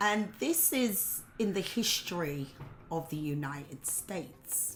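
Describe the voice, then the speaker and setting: A woman with an English accent talks very slowly at a fairly low pitch with lively intonation. Noticeable background noise runs underneath. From England. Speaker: political commentator vlogger. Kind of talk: opinion monologue. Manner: casual with filler words.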